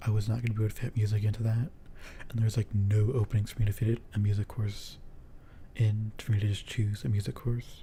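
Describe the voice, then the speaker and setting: A man's very fast, somewhat breathy delivery, dark and mellow in tone, fairly low in pitch, with monotone, flat intonation. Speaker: streamer. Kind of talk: casual chat. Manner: halting. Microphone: handheld mic without pop filter.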